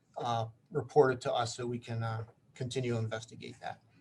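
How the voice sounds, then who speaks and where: A man's somewhat breathy voice in a flat monotone. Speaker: police officer. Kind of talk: community meeting presentation. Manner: fast, rambling.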